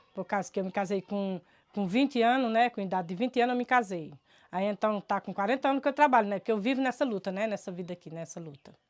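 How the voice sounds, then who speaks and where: Talking at a very fast pace, a woman with a medium pitch and ordinary pitch variation swings widely in loudness, her sound dry and close with no echo. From Brazil, rural Ceará backlands (Cariri). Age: 60s. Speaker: farmer. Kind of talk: testimony. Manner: halting, repeated words.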